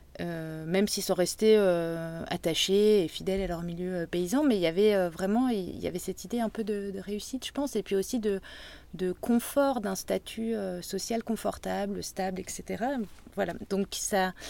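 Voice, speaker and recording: A woman speaks at a fairly slow pace with a medium pitch. Her tone is dark and mellow, with ordinary pitch variation. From Brittany, north Finistère. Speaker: salt marsh worker. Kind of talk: interview conversation. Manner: halting, many hesitations.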